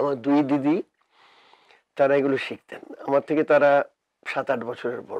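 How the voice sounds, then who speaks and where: Here a man speaks at a fairly high pitch. His intonation is monotone and flat. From West Bengal. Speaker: music director and choir founder; interviewee. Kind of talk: casual chat. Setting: studio. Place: studio. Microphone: lapel.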